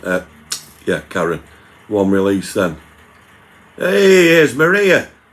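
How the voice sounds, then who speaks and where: A man with a Manchester accent talks at a moderate pace over noticeable background noise. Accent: Manchester area English. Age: 60s. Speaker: YouTuber doing food reviews. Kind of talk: live stream chat reading viewer comments.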